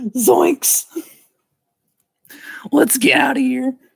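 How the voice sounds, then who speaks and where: A put-on character voice that sounds female is pitched high. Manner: cartoon impression.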